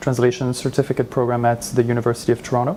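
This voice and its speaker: A medium-pitched man with a French accent at a very fast pace, amid noticeable background noise. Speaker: translator. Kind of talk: interview. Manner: hesitant, many fillers.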